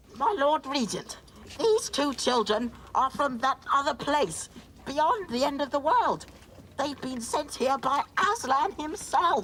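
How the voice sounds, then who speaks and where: A high-pitched, put-on character voice speaks at a fairly slow pace over clear background noise. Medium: short film. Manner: fussy, flustered, hooting.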